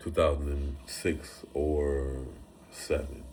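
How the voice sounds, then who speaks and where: In a room with audible echo, a man speaks at a very deep, low pitch, somewhat breathy and monotone, with flat intonation. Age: 40s. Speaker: rapper. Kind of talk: casual chat. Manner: halting.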